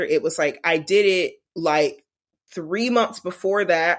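With ordinary pitch variation and a medium pitch, a woman speaks in a normal speaking voice. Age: 20s. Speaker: illustrator and animator. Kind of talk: interview. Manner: casual, many fillers.

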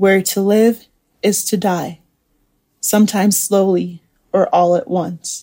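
A woman talks very slowly in a flat monotone, her tone dark and mellow and somewhat breathy. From Nigeria and several countries. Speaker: poet. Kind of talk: poetry reading; interview reflection.

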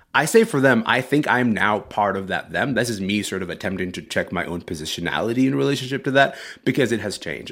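Fairly quick and with lively intonation, a man talks in an ordinary speaking voice, captured in a very clean recording with a silent background. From Sudan, moved to Canada at twelve. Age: 30s. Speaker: culture writer and podcast host. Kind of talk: interview.

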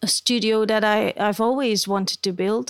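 With a Dutch accent, a woman speaks at a fairly high pitch. Her intonation is monotone and flat. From Belgium. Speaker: portrait photographer. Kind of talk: interview. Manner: halting.

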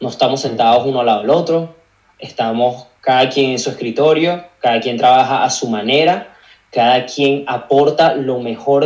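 A man at a medium pitch and a fairly slow pace, with ordinary pitch variation. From Venezuela, Caracas. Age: 20s. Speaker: digital marketing agency owner and content creator. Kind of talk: casual interview chat. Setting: video call.

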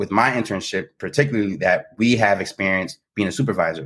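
In a very clean recording with a silent background, a man with an American accent talks at a moderate pace. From New Jersey. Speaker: psychology doctoral candidate. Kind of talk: casual interview chat.

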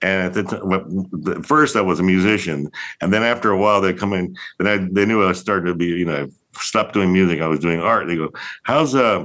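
With a bright, sharp tone, a man speaks at a moderate pace and a fairly low pitch. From Puerto Rico. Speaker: artist and gallery owner. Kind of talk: casual interview. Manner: halting.

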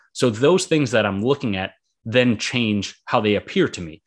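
A man with an American accent talks at a fairly quick pace. His pitch is fairly low, and the background is quiet. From Boston, Massachusetts. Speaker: author and mental health blogger. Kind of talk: podcast interview. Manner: hesitant, filler-heavy.

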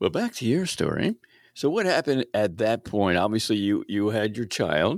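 Here is a man with a plain, everyday voice, speaking at a medium pitch and moderate pace with an American accent. His intonation is lively, his loudness very even, and the recording very clean with a silent background. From Baltimore, Maryland. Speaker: podcast host. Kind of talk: casual interview.

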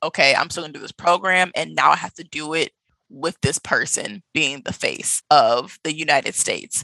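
A woman's voice with big swings in loudness at a moderate pace, dry and close with no echo, on a very clean recording with a silent background. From US Midwest, Milwaukee. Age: 20s. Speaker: travel blogger. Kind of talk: casual interview.

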